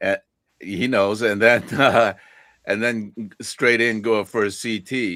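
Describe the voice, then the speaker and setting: Very slow and fairly even in intonation, a man speaks at a medium pitch with a bright, sharp tone. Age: 70s. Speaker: photography panel participant. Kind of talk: casual chat. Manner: halting.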